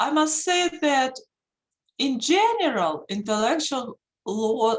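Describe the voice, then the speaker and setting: In a strong Russian accent, a woman talks at a high pitch with very wide pitch swings. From Russia, Saint Petersburg. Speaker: intellectual property attorney. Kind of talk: lecture.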